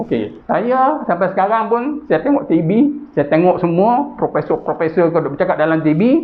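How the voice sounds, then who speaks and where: Keeping his loudness very even, a man speaks at a moderate pace in a high voice that swings very widely in pitch. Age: 60s. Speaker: chairman of a Malay business association. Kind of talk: interview. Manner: hesitant with fillers.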